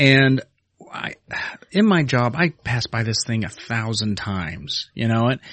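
This man has a plain, everyday voice at a medium pitch. He speaks at a fairly slow pace with lively intonation. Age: 40s. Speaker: podcast co-host. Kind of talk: casual chat.

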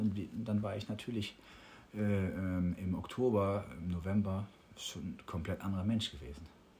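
The man's voice is fairly low and somewhat breathy. He speaks at a moderate pace. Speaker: professional musician. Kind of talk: casual interview. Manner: hesitant, many fillers.

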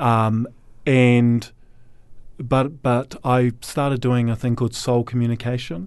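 A man with a New Zealand accent speaks at a very slow pace, his intonation fairly even and his loudness very even throughout. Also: medium pitch for a man. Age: 40s. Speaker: recovering alcoholic. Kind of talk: testimony.

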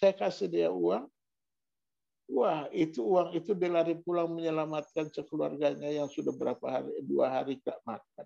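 A dark, mellow tone carries the voice. Its pitch shifts in an ordinary way. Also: man. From Maluku (Ambonese). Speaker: pastor. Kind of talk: sermon.

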